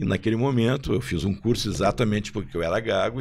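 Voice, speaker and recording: Vocal fry runs through a man's fairly low-pitched voice as he talks at a fairly quick pace. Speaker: marketing executive, former football club marketing director. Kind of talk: podcast panel discussion.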